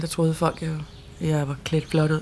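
A woman's very deep, low voice, fairly quick and monotone with flat intonation, over noticeable background noise. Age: 20s. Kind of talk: interview testimony.

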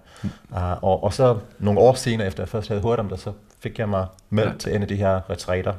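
Pausing long and often, a man speaks at a fairly quick pace in a fairly low, dark and mellow voice with fairly even intonation. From South Africa. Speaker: men's organisation co-founder. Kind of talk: interview. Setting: at home. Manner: halting.

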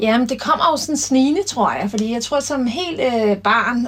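A woman speaks in a plain, everyday voice. Her pace is moderate and her pitch variation ordinary. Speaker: former handball player and coach. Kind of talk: interview.

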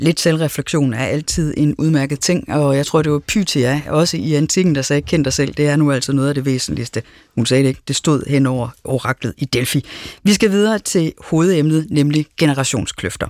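A woman's very deep, low voice, dry and close with no echo. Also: ordinary pitch variation, moderate pace. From Denmark, Aarhus. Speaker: radio host and moderator. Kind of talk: radio panel discussion. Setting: studio.

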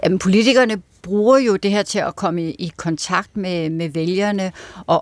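A woman talks at a fairly slow pace in an ordinary speaking voice. Her pitch is medium, with ordinary pitch variation. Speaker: political correspondent. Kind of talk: radio interview.

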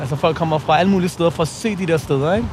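A man talks at a very fast pace in a fairly high pitch. His pitch varies in an ordinary way, and there is noticeable background noise. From Copenhagen, Nørrebro. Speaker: playwright and rapper. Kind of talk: casual chat. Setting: outdoors.

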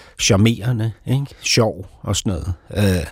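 A man speaks at a very slow pace, somewhat breathy, with lively intonation. The recording is very clean, with a silent background. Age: 50s. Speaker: author and playwright. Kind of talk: casual chat. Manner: halting.

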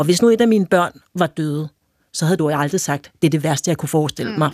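In a dry, close recording with no echo, a woman with a fairly low pitch talks at a very fast pace. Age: 40s. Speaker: journalist and author. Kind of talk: casual chat.

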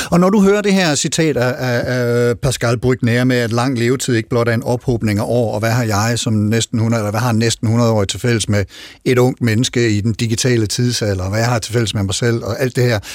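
A man speaks at a moderate pace with hardly any pauses, medium pitch and ordinary pitch variation. It is an ordinary speaking voice in a very clean recording with a silent background. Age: 50s. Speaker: radio host. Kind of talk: radio talk show.

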